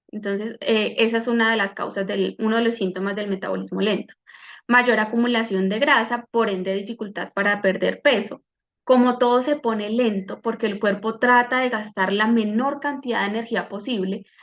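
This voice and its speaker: A woman talks at a moderate pace with a fairly high pitch and fairly even intonation, in a plain, everyday voice. The background is quiet. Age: 30s. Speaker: medical doctor and wellness coach. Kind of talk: online health workshop talk.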